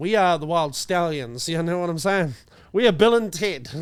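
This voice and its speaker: This man speaks in a high pitch with a New Zealand accent. His pitch variation is ordinary. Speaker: comedy podcast co-host. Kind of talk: casual chat.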